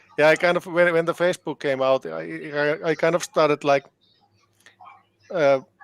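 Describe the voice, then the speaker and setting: In a Finnish accent, a man with a fairly high pitch speaks at a moderate pace with monotone, flat intonation in a dry, close sound with no echo. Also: long, frequent pauses, very even loudness. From Finland. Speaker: band keyboardist and composer. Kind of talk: interview. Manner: halting, many repetitions.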